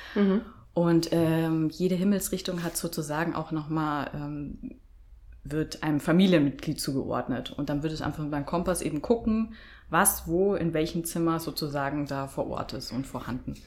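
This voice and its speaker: This woman's pitch is very deep and low, with ordinary variation. She talks at a moderate pace. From Bavaria, Germany. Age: 30s. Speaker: feng shui consultant. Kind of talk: interview.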